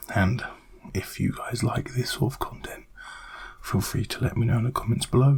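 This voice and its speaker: A man whispers, leaving long, frequent pauses. Noticeable background noise is present. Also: moderate pace. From British. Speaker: ASMR creator. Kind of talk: ASMR rambling talk to camera. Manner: soft-spoken, whispered.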